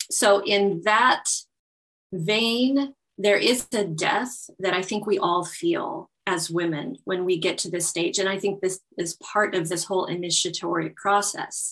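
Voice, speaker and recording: A woman's ordinary speaking voice at medium pitch, with ordinary pitch variation and a fairly slow pace. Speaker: naturopath and belly dance instructor. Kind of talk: interview, explanatory conversation.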